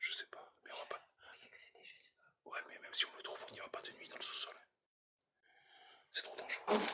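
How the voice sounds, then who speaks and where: Whispering at a moderate pace, a man leaves long, frequent pauses, and his loudness rises and falls sharply. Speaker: urban explorer streamer. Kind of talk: live stream commentary. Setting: abandoned house, livestream. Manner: quiet, hushed.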